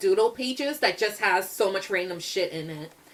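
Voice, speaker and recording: A woman talks loudly in an animated tone at a moderate pace, her fairly high pitch swinging very widely. Noticeable background noise sits behind her. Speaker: artist vlogger. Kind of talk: casual chat.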